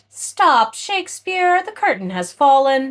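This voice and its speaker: A woman puts on a character voice, pitched high, with very wide swings in pitch and a fairly slow pace. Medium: read story. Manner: sarcastic.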